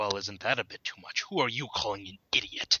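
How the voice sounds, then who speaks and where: A man growls in a put-on character voice with a fairly low pitch and fairly even intonation. He talks fairly quickly, and his loudness swings widely. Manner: indignant.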